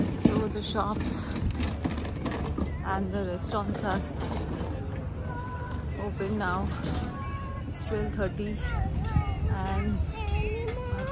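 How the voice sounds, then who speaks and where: Against clear background music, a woman speaks very slowly with long, frequent pauses in a dry sound with no echo. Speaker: parent vlogger. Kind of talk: casual vlog chat. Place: waterside. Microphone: phone near.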